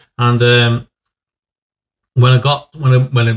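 A man with an East Midlands accent speaks slowly at a medium pitch.

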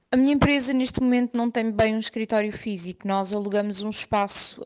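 A woman's voice sits at a fairly high pitch, and her pace is moderate. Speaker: listener sharing a story. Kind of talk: voice message storytelling. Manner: halting.

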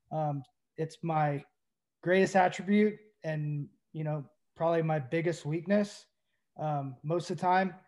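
Against a very clean, silent background, a man with an American accent speaks at a fairly high pitch. He goes at a fairly slow pace with fairly even intonation and long, frequent pauses. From US South, Tennessee (Knoxville). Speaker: former pro baseball player. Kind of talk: casual chat.

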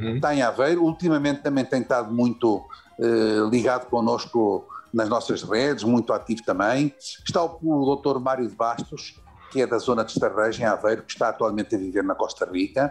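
The speech moves at a moderate pace with ordinary pitch variation while music plays in the background. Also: man, medium pitch for a man. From Portugal, Lisbon. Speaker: community leader and cultural institute president. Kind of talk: interview.

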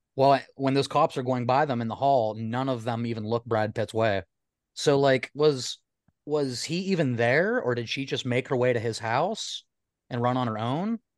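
A man's plain, everyday voice at a medium pitch, with ordinary pitch variation, a moderate pace, and a dry, close sound with no echo. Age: 30s. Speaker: podcast guest. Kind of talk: casual chat.

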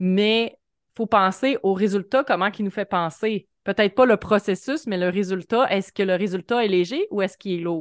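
A woman with a Quebec accent at a moderate pace, in a dry, close sound with no echo over a quiet background. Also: medium pitch for a woman, ordinary pitch variation. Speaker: podcast host. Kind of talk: casual interview chat.

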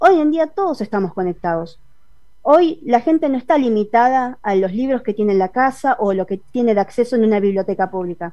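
With a Buenos Aires accent, this dark, mellow voice moves at a fairly quick pace through very wide pitch swings. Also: woman, fairly high pitch for a woman. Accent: Rioplatense Argentine Spanish (porteño). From Buenos Aires, western suburbs. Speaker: comic artist and illustrator. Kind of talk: interview.

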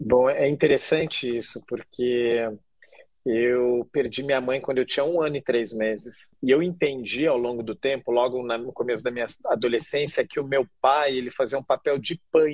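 In a plain, everyday voice, a man speaks at a moderate pace and medium pitch with fairly even intonation, the sound dry and close with no echo. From Curitiba, southern Brazil. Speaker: chef and social entrepreneur. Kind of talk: interview conversation.

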